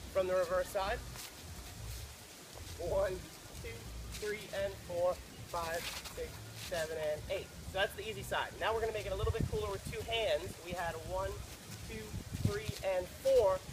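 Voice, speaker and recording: Moderate-paced speech broken by long, frequent pauses, over noticeable background noise. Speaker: dance instructor. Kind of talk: tutorial. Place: beach.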